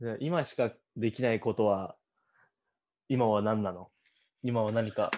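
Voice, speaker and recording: Here a man talks at a fairly slow pace with a medium pitch and ordinary pitch variation. He leaves long, frequent pauses. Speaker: podcast host, university student. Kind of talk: casual interview chat.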